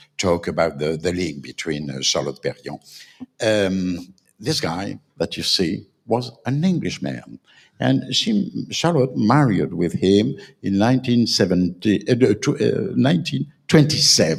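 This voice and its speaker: A man speaks at a fairly slow pace with a French accent. His pitch is fairly low, with very wide swings and vocal fry. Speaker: panel speaker on design. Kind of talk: panel talk. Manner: halting.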